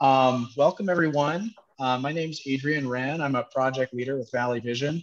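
A man speaks at a moderate pace with fairly even intonation. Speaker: event host. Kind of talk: webinar host welcome remarks. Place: cafe. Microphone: headset.

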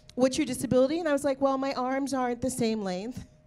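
Her pitch sits high for a woman. She speaks very fast. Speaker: comedian. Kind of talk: stand-up. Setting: stage with audience. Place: studio. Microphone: handheld.

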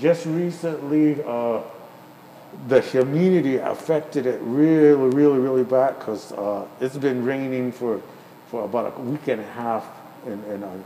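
A man is speaking here. There is light background noise and audible room echo. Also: medium pitch for a man, ordinary pitch variation, moderate pace. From Santo Domingo Pueblo, New Mexico. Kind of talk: casual explanation during live craft demo. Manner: personable, talkative. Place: shop.

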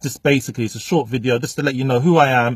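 A man's voice comes through somewhat breathy. The sound is dry, with no echo. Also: quiet background. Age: 30s. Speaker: motivational speaker. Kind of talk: direct-to-camera vlog monologue. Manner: casual, unscripted. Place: car. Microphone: phone near.

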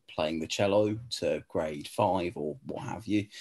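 Speaking at a fairly slow pace with an English accent, a man uses ordinary pitch variation. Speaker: law tutor; admissions tutor. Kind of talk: webinar Q&A. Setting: video call. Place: home room. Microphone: webcam.

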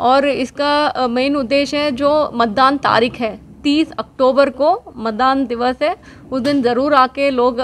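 The woman's pitch is high and her intonation fairly even. She talks at a fairly slow pace. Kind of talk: interview answer. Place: office. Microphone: handheld.

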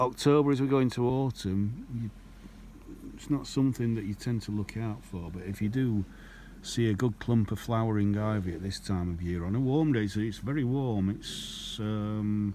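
This man's pitch sits fairly low, with ordinary variation, and he talks at a moderate pace. The sound is dry with no echo, over light background noise. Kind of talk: casual nature commentary. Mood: amazed, enthusiastic. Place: open country. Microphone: phone near.

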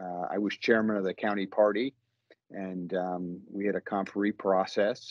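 A man's fairly low, monotone voice, flat in intonation, dry with no echo, over a quiet background. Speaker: guest. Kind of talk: interview answer. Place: office. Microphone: video call.

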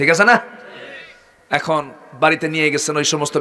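A man's animated voice over light background noise. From Bangladesh. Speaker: Islamic preacher. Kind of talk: sermon. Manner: animated, calls for loud responses. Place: stage. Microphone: podium.

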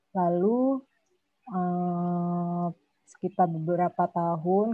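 A woman speaks with fairly low pitch and fairly even intonation. The sound is dry with no echo and the background is quiet. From West Sumatra, Payakumbuh; West Sumatra. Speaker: multimedia artist; guest. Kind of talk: casual chat. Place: home room. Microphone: video call.

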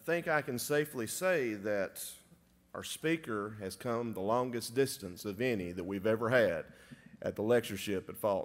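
Using lively intonation, a man with a Southern US accent speaks at a medium pitch. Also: moderate pace. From US South. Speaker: chapel emcee. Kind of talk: announcements and introduction. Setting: church chapel with audience. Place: church. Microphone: podium.

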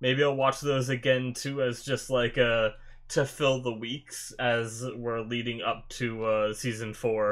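A man talks in a monotone, flat intonation. Little sound comes from behind him. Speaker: anime reaction video host. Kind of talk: casual vlog chat. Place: home room. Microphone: webcam.

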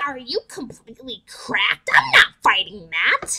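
In a put-on character voice, a female-sounding speaker uses a high pitch at a moderate pace. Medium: dub.

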